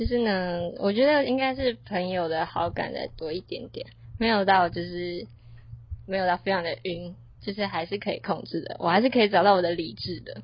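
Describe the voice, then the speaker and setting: This woman has an unremarkable speaking voice at medium pitch, using lively intonation at a moderate pace. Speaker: university student podcast co-host. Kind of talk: casual chat.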